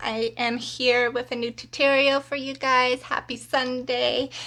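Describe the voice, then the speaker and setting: A woman's high, raised and projected voice with a bright, sharp tone, in flat monotone at a fairly slow pace. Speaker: beauty vlogger. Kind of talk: tutorial.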